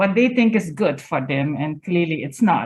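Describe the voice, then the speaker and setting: A woman speaks at a moderate pace in a somewhat breathy voice with lively intonation. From Suriname. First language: Dutch. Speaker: public health professor. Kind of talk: lecture.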